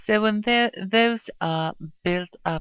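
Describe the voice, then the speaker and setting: The speaker has a Swedish accent. The pace is very slow. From Sweden. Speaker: video game streamer. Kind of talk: gameplay commentary. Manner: casual, hesitant.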